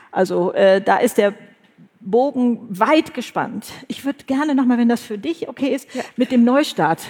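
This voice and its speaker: A woman's high-pitched voice, fairly slow in pace, with lively intonation. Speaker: podcast host and author. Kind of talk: live podcast conversation on stage. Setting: stage with audience.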